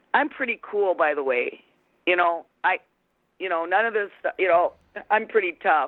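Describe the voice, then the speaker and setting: Pauses are long and frequent. The delivery is fairly slow. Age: 60s. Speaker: prank call target. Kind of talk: casual phone conversation. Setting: phone call.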